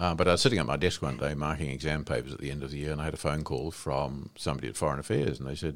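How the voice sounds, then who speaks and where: This man talks at a very fast pace with a New Zealand accent. His pitch is very deep and low, with vocal fry. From New Zealand, Wairarapa. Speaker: retired senior public servant and diplomat. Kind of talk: interview.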